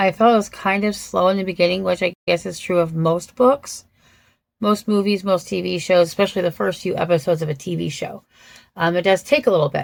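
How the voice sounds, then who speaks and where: Speaking at a fairly quick pace, a woman has an unremarkable speaking voice with a fairly low pitch and ordinary pitch variation. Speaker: book reviewer. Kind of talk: casual book review. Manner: casual, with frequent fillers.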